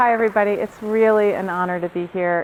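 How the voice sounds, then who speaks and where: A woman with an American accent talks at a fairly quick pace with fairly even intonation. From New York City. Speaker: research psychologist. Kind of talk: professional development lecture. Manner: fast.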